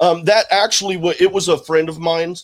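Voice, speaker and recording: In a very clean recording with a silent background, a man with a slight Southern accent talks at a fairly quick pace with ordinary pitch variation. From Houston, Texas. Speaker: podcast host. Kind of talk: interview.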